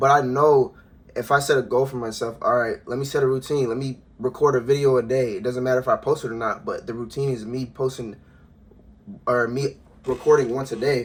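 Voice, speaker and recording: A man at medium pitch, fairly quick in pace, with monotone, flat intonation. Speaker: motivational YouTuber. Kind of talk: casual vlog monologue. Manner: casual, repetitive filler-heavy.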